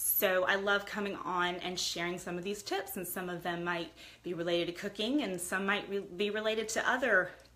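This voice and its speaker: Over noticeable background noise, a woman of medium pitch speaks at a moderate pace with fairly even intonation. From US, Italian immigrant household. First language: Italian. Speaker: lifestyle livestreamer. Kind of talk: casual livestream chat. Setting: live video stream.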